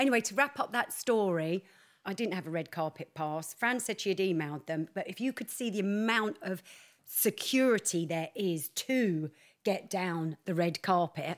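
A woman's animated tone and lively intonation come through a very clean recording, silent background. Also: medium pitch for a woman, moderate pace. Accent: British. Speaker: podcast co-host. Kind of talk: casual chat. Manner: brash.

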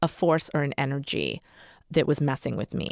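In an American accent, a woman speaks at a moderate pace with a very deep, low pitch, vocal fry and fairly even intonation, captured in a very clean, dry, close recording with a silent background and no echo. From Massachusetts. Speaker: author. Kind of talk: casual chat; storytelling.

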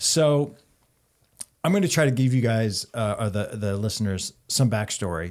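A man's normal speaking voice, medium in pitch, with lively intonation at a moderate pace. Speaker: podcast host. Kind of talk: casual chat. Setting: studio.

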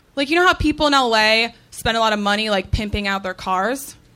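Speaking at a moderate pace, the voice carries a bright, sharp tone and ordinary pitch variation. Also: woman. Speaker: comedian. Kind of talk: stand-up. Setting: stage with audience.

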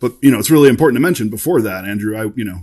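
A man with a fairly low voice speaks in an American accent against a quiet background. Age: 40s. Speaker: former extremist turned de-radicalization worker. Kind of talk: interview.

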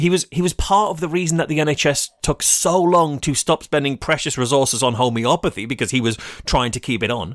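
On a very clean recording with a silent background and a dry, close sound with no echo, a man with an English accent speaks fairly quickly in a fairly high voice. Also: hardly any pauses. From England. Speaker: podcast co-host. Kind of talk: comedic news podcast.

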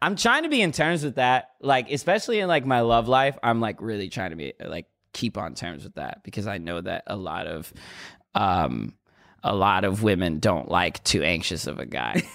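At a moderate pace, a man with a medium-pitched voice and vocal fry makes very wide pitch swings in a very clean recording with a silent background. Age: 20s. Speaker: rapper. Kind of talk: casual interview. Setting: studio.

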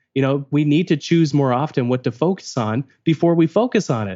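A man with a Canadian accent talks at a fairly quick pace, his pitch fairly high. He has an unremarkable speaking voice and lively intonation. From Canada. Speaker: productivity author. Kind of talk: interview.

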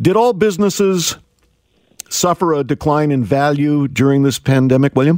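A man with an unremarkable speaking voice and a fairly high pitch talks at a moderate pace with lively intonation and very even loudness, in a dry, close sound with no echo. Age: 60s. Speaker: radio host. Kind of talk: news reading; radio talk show interview.

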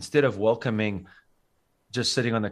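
A man with a South African accent, a fairly low pitch and fairly even intonation. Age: 40s. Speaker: school teacher and triathlete. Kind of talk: casual interview chat. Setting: remote call.

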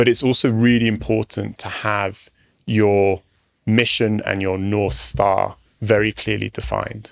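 In a very clean recording with a silent background, a man with a British accent talks fairly slowly at a fairly low pitch and with fairly even intonation. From UK. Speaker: startup founder and CEO. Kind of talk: interview conversation. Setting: studio.

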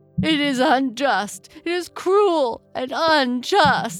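The speaker uses a put-on character voice at a high pitch and a very slow pace. Faint music sits in the background. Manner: mournful, sobbing.

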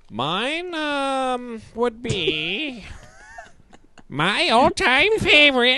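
This is a put-on character voice, high in pitch. It moves at a very slow pace. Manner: menacing, theatrical.

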